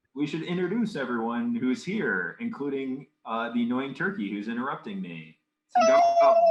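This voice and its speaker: Music plays behind a man speaking at a moderate pace. His fairly high voice moves in very wide pitch swings. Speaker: podcast host. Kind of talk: casual chat.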